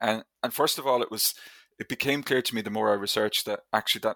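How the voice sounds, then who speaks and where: Bright and sharp in tone, a man with an Irish accent speaks in a fairly low pitch with monotone, flat intonation, in a very clean recording with a silent background. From Ireland. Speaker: history lecturer. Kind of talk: interview.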